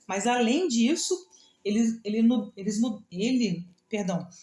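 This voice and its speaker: Lively in intonation, a woman's somewhat breathy voice sits at a fairly high pitch with a dark, mellow tone. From Rio de Janeiro, Brazil. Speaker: devotional leader. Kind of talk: devotional talk. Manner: halting, repeats words; slurred diction, heavy S/X sounds.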